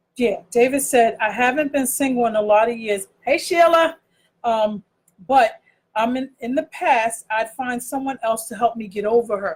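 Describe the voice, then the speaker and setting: A woman speaks loudly in a high pitch. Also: ordinary pitch variation, moderate pace. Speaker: online talk show co-host. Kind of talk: casual chat.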